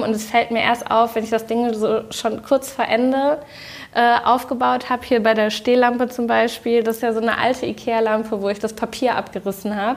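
Over noticeable background noise, a woman speaks at a moderate pace in a fairly high pitch with monotone, flat intonation. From Germany, Düsseldorf. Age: 30s. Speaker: interior design influencer. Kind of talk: casual interview. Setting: at her home.

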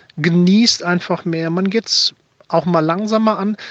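A man's high voice at a fairly slow pace, fairly even in intonation, against noticeable background noise. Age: 40s. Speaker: listener voice message. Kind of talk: testimony.

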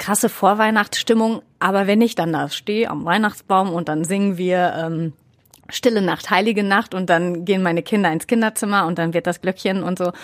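With an unremarkable speaking voice, a woman talks at a moderate pace and medium pitch, her intonation fairly even. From Ruhr area, Germany. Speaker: radio presenter. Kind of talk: casual chat. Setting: studio.

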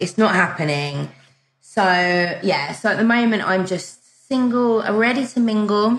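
A woman speaks in a British accent with ordinary pitch variation. Her loudness stays very even. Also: medium pitch for a woman, fairly slow pace. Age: 40s. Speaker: dating coach and author. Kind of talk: casual interview. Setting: remote call.

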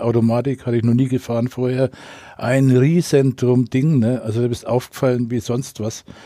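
Over a very clean recording with a silent background, a man talks at a moderate pace. His tone is dark and mellow, and his intonation fairly even. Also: dry, close sound with no echo. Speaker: radio correspondent. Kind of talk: casual interview storytelling.

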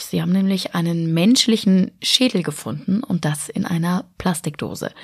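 Her voice somewhat breathy, a woman speaks at medium pitch and a moderate pace with lively intonation. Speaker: news podcast host. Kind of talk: news presentation. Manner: casual, conversational.

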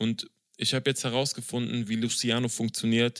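A man at a moderate pace, bright, sharp tone, dry, close sound with no echo. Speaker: podcast host. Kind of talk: casual chat. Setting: video call.

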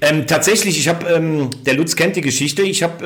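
In a room with audible echo and noticeable background noise, a man talks at a fairly quick pace with a fairly high pitch and ordinary pitch variation. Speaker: sports journalist. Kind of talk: casual interview chat.

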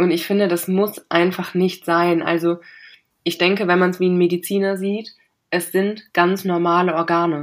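Woman of medium pitch, a normal speaking voice, fairly even intonation, fairly slow pace. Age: 20s. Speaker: cancer patient. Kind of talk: interview.

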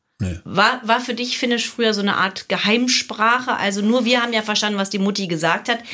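A woman at a fairly quick pace, fairly even in intonation, against noticeable background noise. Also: fairly high pitch for a woman. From Germany, Hilden near Cologne. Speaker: podcast host. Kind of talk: casual chat.

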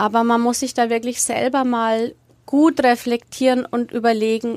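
A woman with a normal speaking voice talks at a fairly high pitch with fairly even intonation. The recording is very clean, with a silent background. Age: 40s. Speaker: sex therapist. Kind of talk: interview.

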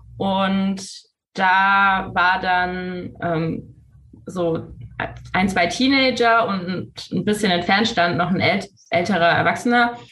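A woman at a medium pitch speaks very slowly in a bright, sharp tone with ordinary pitch variation, and the room echo is audible. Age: 20s. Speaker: medical student and queer activist. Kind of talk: interview.

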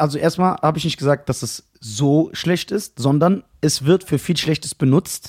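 A man's somewhat breathy voice sits fairly high in pitch, with ordinary pitch variation at a moderate pace. The sound is dry and close, with no echo. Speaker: podcast host. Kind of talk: casual banter, comedic roasting chat.

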